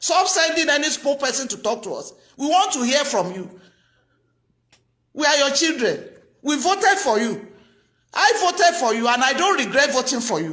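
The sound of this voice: A woman speaks with a high pitch and a fairly bright tone. Her pitch makes big swings. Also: moderate pace.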